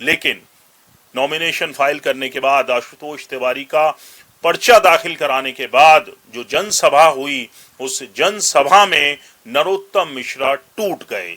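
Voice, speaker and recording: With a normal speaking voice, a man talks at a fairly high pitch, his intonation lively and his loudness swinging widely. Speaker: news commentator. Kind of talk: news commentary narration.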